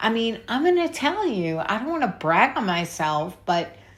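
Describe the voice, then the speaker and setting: A woman speaks with a New York accent. Her pace is fairly slow. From New York City. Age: 60s. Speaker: YouTuber. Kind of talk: casual vlog rant. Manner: halting.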